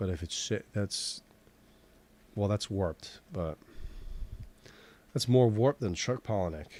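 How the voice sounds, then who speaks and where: A man with an American accent speaks at a fairly slow pace in a fairly low pitch, his dark, mellow tone broken by long, frequent pauses, the sound dry with no echo. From Boston, Massachusetts. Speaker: digital sculpting instructor. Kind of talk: live-streamed tutorial, casual commentary; casual live-stream chat while working. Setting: live stream. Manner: casual, halting with fillers. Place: home room.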